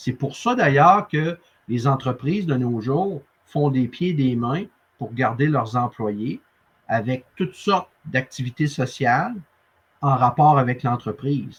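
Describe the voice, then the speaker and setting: A man with a Quebec accent speaks at a very slow pace and a medium pitch. He sounds somewhat breathy, with ordinary pitch variation. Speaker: sales coach and interviewer. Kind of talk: interview conversation. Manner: animated.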